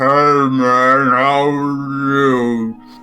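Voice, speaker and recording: A man's mumbling, put-on character voice at medium pitch, with monotone, flat intonation, over clear background noise. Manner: mumbled, poorly articulated.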